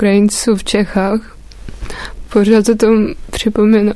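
Her medium-pitched voice stays monotone, the woman's intonation flat throughout. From eastern Ukraine, Dnipropetrovsk. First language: Ukrainian or Russian (speaking Czech). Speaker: visual artist. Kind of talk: interview. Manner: halting.

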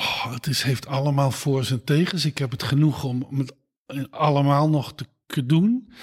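This man speaks at a fairly slow pace in a fairly high, somewhat breathy voice with ordinary pitch variation. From Netherlands, Eindhoven (Brabant). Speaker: gynaecologist, professor. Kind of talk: interview. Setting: at home.

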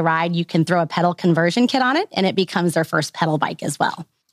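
Speaking at a very fast pace, a woman with an American accent has a fairly low pitch, and the sound is dry and close with no echo. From US Midwest, central Missouri. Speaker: bike company employee. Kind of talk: interview.

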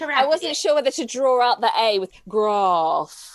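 Her high voice, in a British accent, moves at a fairly slow pace while this woman's pitch swings very widely. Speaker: podcast co-host. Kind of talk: conversational.

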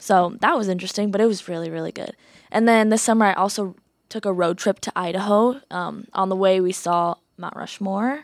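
A woman with an American accent has an ordinary speaking voice, medium in pitch with fairly even intonation, in a very clean recording with a silent background. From eastern Iowa. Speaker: college radio co-host, nursing student. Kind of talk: casual chat; event announcements. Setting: studio.

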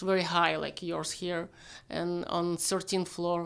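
A woman at a moderate pace, very clean recording with a silent background. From Ukraine, Kyiv area. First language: Ukrainian or Russian. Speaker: refugee from the war in Ukraine. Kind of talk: interview. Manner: halting.

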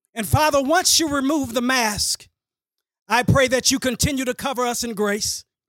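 The recording is very clean, with a silent background. The speaker has an American accent, a moderate pace and ordinary pitch variation. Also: man, extremely high pitch for a man. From Texas, Dallas area. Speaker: pastor. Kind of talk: public prayer; introduction to an audience.

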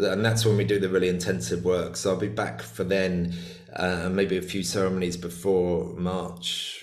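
A man speaks at a moderate pace with a very deep, low pitch, and audible room echo surrounds his voice. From UK. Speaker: shamanic healer and author. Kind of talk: casual interview chat. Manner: halting, many repeated words.

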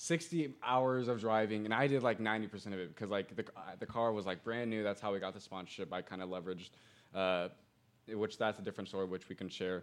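Speaking very fast, a man uses a Midwestern American accent. His fairly low voice has ordinary pitch variation. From Indiana, US Midwest. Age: 20s. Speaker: digital marketer and entrepreneur. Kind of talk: podcast interview. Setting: studio.

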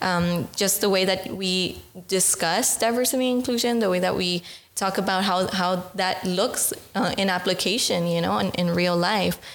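Speech with an American accent comes at a moderate pace, with fairly even intonation and very even loudness. Audible room echo and noticeable background noise are present. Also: woman, medium pitch for a woman. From US, Los Angeles, California. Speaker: program officer, former mentee. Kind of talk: podcast interview.

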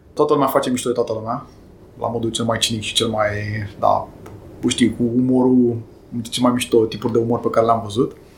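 Noticeable background noise sits behind a man at a medium pitch. He talks at a fairly quick pace in a monotone, flat intonation, with long, frequent pauses. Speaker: IT executive and amateur pilot. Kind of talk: interview.

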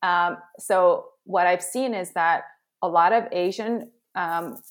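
A woman's plain, everyday voice with an American accent, medium in pitch and ordinary in its pitch variation. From Southern California, with childhood in Korea. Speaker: career and executive coach. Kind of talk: interview conversation.

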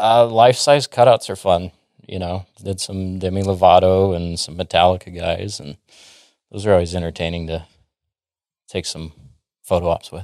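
On a very clean recording with a silent background, a man with an American accent speaks at a moderate pace in a very deep, low voice. His intonation is fairly even, he takes long, frequent pauses, and the sound is dry and close with no echo. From Texas, Dallas area. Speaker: sales operations specialist. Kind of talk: casual interview. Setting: office studio.

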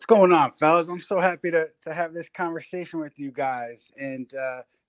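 A man with an ordinary speaking voice talks at a moderate pace with fairly even intonation. The sound is dry and close with no echo, over a quiet background. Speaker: NBA journalist guest.

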